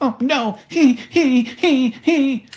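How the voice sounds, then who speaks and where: This is a put-on character voice, high in pitch. It sounds squeaky. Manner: panicked.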